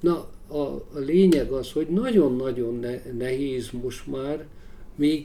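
A dark, mellow tone unfolds at a very slow pace with audible room echo. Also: man. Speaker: big-game hunter and author. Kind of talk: interview. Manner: halting.

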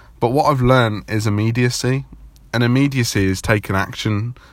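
Here is an ordinary speaking voice with ordinary pitch variation, delivered at a moderate pace. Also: man, very even loudness. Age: 20s. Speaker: podcast host. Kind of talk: solo podcast monologue. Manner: casual, many fillers.

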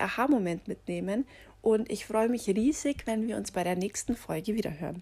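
Lively intonation from a woman with a fairly high pitch, at a moderate pace. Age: 30s. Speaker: personal coach and podcast host. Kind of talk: motivational podcast monologue.

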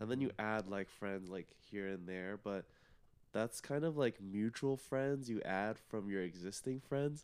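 A man with a plain, everyday voice speaks in an American accent. His pitch is fairly low, with ordinary variation. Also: fairly slow pace. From Plano, Texas. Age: young. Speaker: college student. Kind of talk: casual chat.

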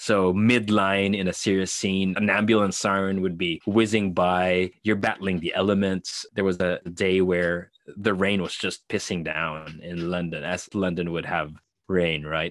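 A man with a very deep, low voice speaks in a monotone, flat way with hardly any pauses. The background is quiet. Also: fairly slow pace. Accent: Filipino. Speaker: actor and filmmaker. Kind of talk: casual interview chat.

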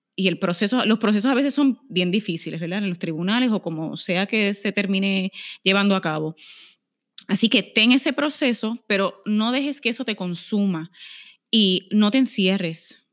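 The voice moves at a moderate pace with ordinary pitch variation in a very clean recording with a silent background. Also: woman, medium pitch for a woman. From Puerto Rico, Aguadilla. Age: 30s. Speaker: lawyer and corporate negotiator. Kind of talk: casual interview.

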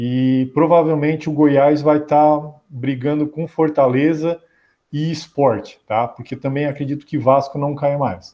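Fairly high in pitch, a man uses an unremarkable speaking voice with fairly even intonation. He talks at a fairly slow pace. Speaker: football podcast host. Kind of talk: casual chat.

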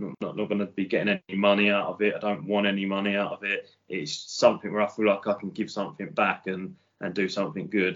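Speaking at a very fast pace with hardly any pauses, a man with a British accent keeps a fairly low pitch and fairly even intonation. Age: 40s. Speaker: electrician. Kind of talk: casual chat.

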